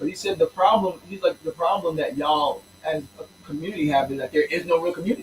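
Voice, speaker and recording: A high-pitched man talks at a fairly quick pace as noticeable background noise carries on. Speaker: teacher and musician. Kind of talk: interview. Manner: fast; animated.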